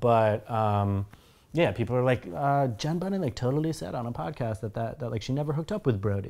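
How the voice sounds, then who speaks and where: Long, frequent pauses interrupt a man talking at a very fast pace. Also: medium pitch for a man, lively intonation. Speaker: co-host of a TV reaction series. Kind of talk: casual chat. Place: home room.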